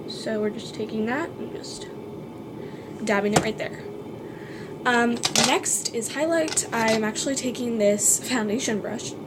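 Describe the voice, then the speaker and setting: Amid noticeable background noise and audible room echo, a woman talks fairly slowly at a fairly high pitch with ordinary pitch variation and long, frequent pauses. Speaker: beauty vlogger. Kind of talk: makeup tutorial. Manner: casual, filler-heavy.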